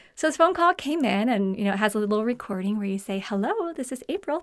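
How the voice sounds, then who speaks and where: A woman talks at a very fast pace with very wide pitch swings, and noticeable background noise runs underneath. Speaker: podcast host. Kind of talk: personal storytelling. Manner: animated.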